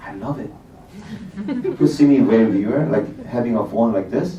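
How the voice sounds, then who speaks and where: A man with a Korean accent talks at a moderate pace with lively intonation. Audible room echo surrounds his voice. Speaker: bank technology executive, panelist. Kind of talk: panel discussion.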